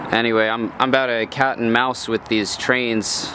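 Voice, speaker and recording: A man's medium-pitched voice at a moderate pace, flat and monotone, over noticeable background noise. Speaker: travel vlogger. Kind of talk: vlog narration. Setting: outdoors. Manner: casual.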